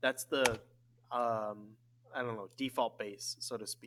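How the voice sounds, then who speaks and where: A man with an unremarkable speaking voice speaks at a fairly slow pace, in a dry, close sound with no echo. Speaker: math teacher. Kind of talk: tutorial.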